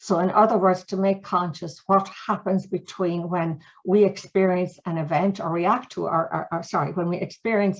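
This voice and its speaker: A woman speaks with an Irish accent. Her pitch is fairly low. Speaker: mediation trainer and author. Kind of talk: storytelling; webinar presentation. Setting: video call webinar. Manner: fast; animated.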